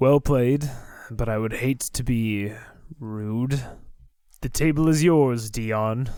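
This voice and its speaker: A man uses a put-on character voice at medium pitch with ordinary pitch variation. He goes at a very slow pace with long, frequent pauses. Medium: actual play.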